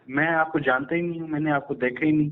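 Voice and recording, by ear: Audible room echo surrounds a man speaking fast at a fairly high pitch. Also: fairly even intonation.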